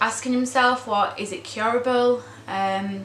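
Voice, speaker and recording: A woman speaks at a fairly high pitch in a monotone, flat intonation, with audible room echo and noticeable background noise. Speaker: vlogger, daughter of cancer patient. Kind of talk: vlog monologue. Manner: hesitant, many ums.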